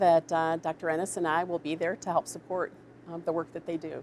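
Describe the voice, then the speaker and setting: A woman's fairly low-pitched, normal speaking voice at a fairly quick pace. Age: 60s. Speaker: public health officer. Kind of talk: prepared statement; press briefing Q&A. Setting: media briefing.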